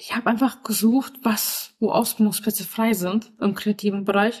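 A woman's voice comes out somewhat breathy, her intonation monotone and flat. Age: 20s. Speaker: podcast guest living with mental illness, trainee florist. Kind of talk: interview.

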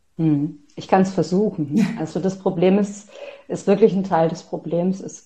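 Fairly even intonation carries a dark, mellow tone that is somewhat breathy. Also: woman. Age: 40s. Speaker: author and self-empowerment coach. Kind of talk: interview.

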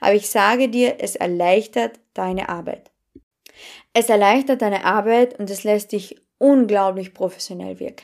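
Speaking with a Carinthian accent at a fairly slow pace, a woman with medium pitch and ordinary pitch variation swings widely in loudness in a very clean recording with a silent background. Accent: Carinthian Austrian German. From Austria, Carinthia. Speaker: podcast host, business and mindset coach. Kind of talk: solo podcast monologue. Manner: animated.

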